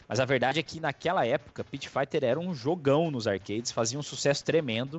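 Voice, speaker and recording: The intonation is lively. The pace is very fast. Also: man. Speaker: podcast host. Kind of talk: casual chat.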